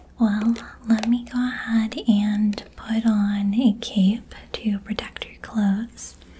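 Against light background noise, a woman is soft-spoken with a gentle tone. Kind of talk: role-play salon chat, soft-spoken. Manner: soft-spoken, gentle close-mic voice. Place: home room.

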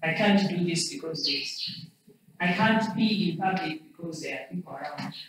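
Strong room echo and light background noise surround a woman's voice. She speaks fairly low at a moderate pace, with ordinary pitch variation. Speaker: lecturer. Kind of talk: lecture. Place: classroom. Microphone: camera far.

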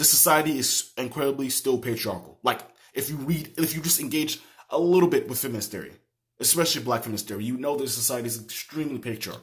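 The man moves along at a fairly quick pace. His pitch varies in an ordinary way against a quiet background. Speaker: political commentator. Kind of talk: opinion rant to camera. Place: home room. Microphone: phone near.

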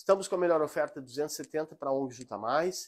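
Moderate pace and ordinary pitch variation in a fairly high-pitched male voice. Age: 40s. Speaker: antique shop seller. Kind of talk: live sales stream. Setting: antique shop, live stream. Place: shop.

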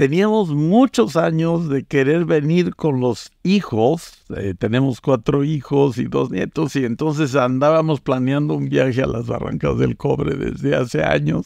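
Dark and mellow in tone yet fairly high in pitch, a man talks at a fairly slow pace with lively intonation and hardly any pauses, in a dry sound with no echo over a quiet background. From Mexico, Veracruz (Tuxpan); Veracruz, Mexico. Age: 70s. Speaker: academic and pollster, author; guest. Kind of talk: interview about his book. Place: home room. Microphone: studio mic.

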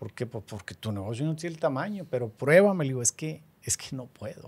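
A man's somewhat breathy voice at a fairly quick pace, with very wide pitch swings. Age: 50s. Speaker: real estate developer; podcast guest. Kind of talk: interview. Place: studio. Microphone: studio mic.

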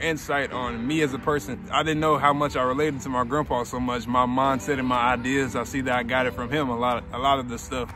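A man talks at a fairly quick pace with fairly even intonation, his voice dry with no echo over noticeable background noise. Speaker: vlogger. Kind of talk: casual talk to camera. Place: open country. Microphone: phone near.

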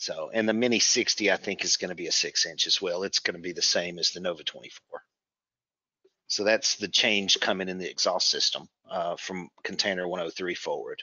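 The dry sound, with no echo, carries a man speaking at a moderate pace. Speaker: presenter. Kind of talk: webinar presentation. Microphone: video call.

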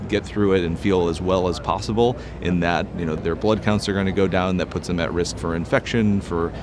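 Despite noticeable background noise, the dry sound has no echo as a man with a very deep, low pitch speaks at a fairly quick pace. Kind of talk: interview answer. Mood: calm, explanatory. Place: hall.

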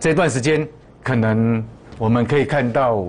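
The speaker is a man. His intonation is lively. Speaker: stock market analyst. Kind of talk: market commentary. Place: studio. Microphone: lapel.

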